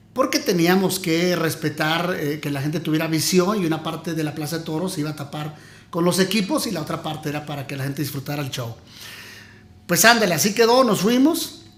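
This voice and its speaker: A man's high-pitched voice at a fairly quick pace. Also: ordinary pitch variation. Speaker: former radio announcer. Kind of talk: interview answer, casual storytelling.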